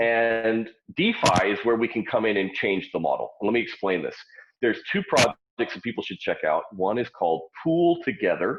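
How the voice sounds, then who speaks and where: A man talks loudly at a medium pitch, his voice moving through very wide pitch swings. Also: moderate pace. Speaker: startup founder. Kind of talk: interview.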